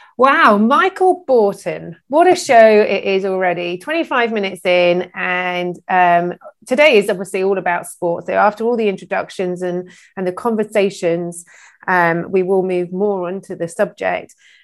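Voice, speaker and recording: A woman's ordinary speaking voice at a moderate pace, with ordinary pitch variation and a very clean recording over a silent background. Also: medium pitch for a woman. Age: 40s. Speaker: chat show host. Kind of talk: panel discussion.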